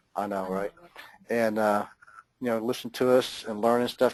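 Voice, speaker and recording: Speaking at a very fast pace with an American accent, a man keeps his intonation fairly even. The sound is dry and close, with no echo. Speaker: webinar host. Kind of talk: webinar sign-off. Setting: online webinar. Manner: casual, filler-heavy.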